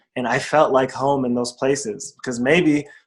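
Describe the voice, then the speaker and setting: The speaker has a plain, everyday voice with an American accent. The pace is moderate and the intonation fairly even. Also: man. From United States. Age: young. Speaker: rapper, performer, storyteller. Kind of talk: interview answer.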